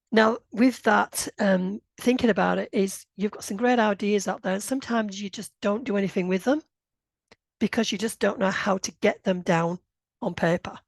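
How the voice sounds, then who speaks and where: Speaking in a northern English accent, a woman uses fairly even intonation, with a dry, close sound, no echo, and a quiet background. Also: medium pitch for a woman, moderate pace. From northern England, Bradford, Yorkshire. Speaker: grant writing consultant. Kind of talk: webinar presentation. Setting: online session. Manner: hesitant, with many fillers.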